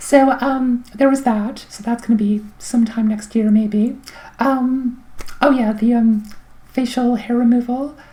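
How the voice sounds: At a moderate pace, a woman speaks with a fairly high pitch, a dark, mellow tone and fairly even intonation.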